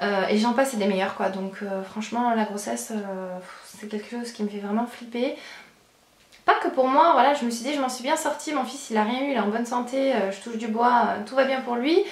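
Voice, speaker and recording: A woman's fairly high voice with ordinary pitch variation, plus audible room echo and noticeable background noise. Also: fairly quick pace. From France, Charente (Angoulême). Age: 20s. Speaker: beauty and lifestyle vlogger. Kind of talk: Q&A vlog. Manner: hesitant, many fillers.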